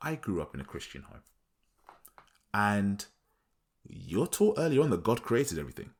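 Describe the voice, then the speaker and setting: On a very clean recording with a silent background, a man speaks with vocal fry and very wide pitch swings. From Nigeria. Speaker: podcast host. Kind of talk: podcast monologue, advice talk. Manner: casual, halting with repeats.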